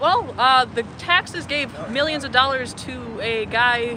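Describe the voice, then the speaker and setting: Noticeable background noise behind a high-pitched female voice. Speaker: protester. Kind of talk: street interview.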